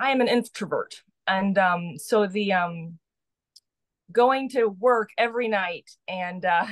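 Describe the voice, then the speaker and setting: A woman speaks very slowly at medium pitch. Her pitch varies in an ordinary way. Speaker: nurse and writer. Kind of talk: interview conversation. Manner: halting, many fillers.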